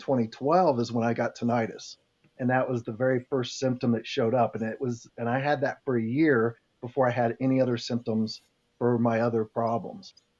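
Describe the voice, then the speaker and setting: With an unremarkable speaking voice, a man talks at a medium pitch and fairly quick pace, his intonation fairly even. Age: 50s. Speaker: patient with Meniere's disease, author. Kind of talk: podcast interview.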